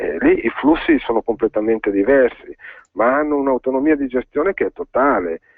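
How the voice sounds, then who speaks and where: A man keeps up a fairly quick pace as music plays in the background. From northern Italy, Valtellina (Sondrio). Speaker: provincial politician. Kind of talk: radio interview. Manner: hesitant, many fillers.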